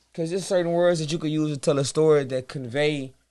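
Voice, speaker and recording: In a Louisiana accent, a man with a fairly high pitch talks at a fairly quick pace against a quiet background. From US South, Baton Rouge, Louisiana. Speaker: rapper and singer. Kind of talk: casual interview.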